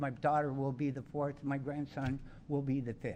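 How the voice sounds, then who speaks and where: Flat, monotone intonation comes at a moderate pace. The room echo is audible. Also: man. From Ontario, Canada (Niagara region). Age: 70s. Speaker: resident delegate at council meeting. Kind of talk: public testimony. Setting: council chamber. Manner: halting.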